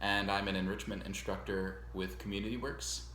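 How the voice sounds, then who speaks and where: In an American accent, a man speaks at a moderate pace with a very deep, low pitch, very wide pitch swings and vocal fry. His tone is bright and sharp, and audible room echo surrounds it. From US Northeast, Long Island, New York. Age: 20s. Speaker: music teacher. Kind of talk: self-introduction video to students. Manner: casual, with many fillers.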